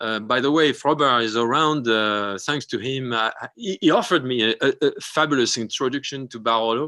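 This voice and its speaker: With a French accent, the speaker talks at a fairly quick pace in a bright, sharp tone with ordinary pitch variation against a quiet background. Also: man, medium pitch for a man. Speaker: winemaker. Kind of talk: interview on a live video show. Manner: halting, many fillers and restarts.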